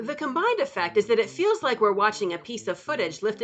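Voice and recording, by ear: Here a speaker reads aloud in a natural voice.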